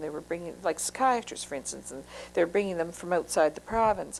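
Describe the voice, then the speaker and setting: With ordinary pitch variation, a woman talks in a fairly low pitch. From Moncton, New Brunswick, Canada. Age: 50s. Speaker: social worker. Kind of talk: oral history interview. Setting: interviewee's home. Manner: hesitant, many fillers.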